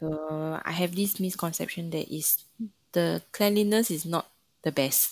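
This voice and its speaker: A woman speaks at a fairly slow pace in a fairly low voice, her intonation fairly even. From Singapore. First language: not Mandarin. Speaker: brass musician and student. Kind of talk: casual interview.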